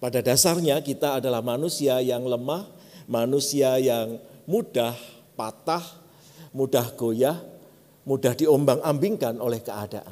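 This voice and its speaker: A man with a dark, mellow tone and medium pitch speaks fairly slowly, with ordinary pitch variation. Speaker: pastor. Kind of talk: sermon.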